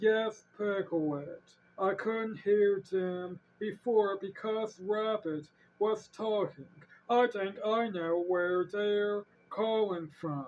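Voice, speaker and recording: At a fairly high pitch, this put-on character voice comes through. It moves at a very slow pace. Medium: read story. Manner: slow, gentle.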